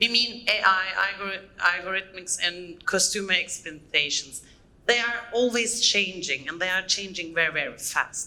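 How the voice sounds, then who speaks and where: With a German accent, a woman speaks at a moderate pace in a bright, sharp tone, her medium pitch showing ordinary variation. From Germany. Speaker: conference speaker. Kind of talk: conference talk. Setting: stage with audience. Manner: halting, many fillers.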